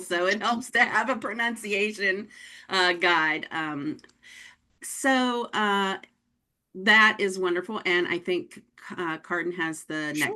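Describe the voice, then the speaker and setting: Against a quiet background, a woman with a slight Pennsylvania accent speaks at a very slow pace with long, frequent pauses, her medium-pitched voice bright and sharp in tone with ordinary pitch variation. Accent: slight Pennsylvania twang. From Pennsylvania, United States.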